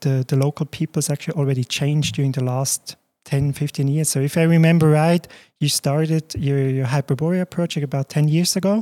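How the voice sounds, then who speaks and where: In a very clean recording with a silent background, a man with a Swiss German accent speaks in a dry, close sound with no echo. His fairly high voice has a dark, mellow tone and fairly even intonation. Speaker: podcast host. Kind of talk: interview.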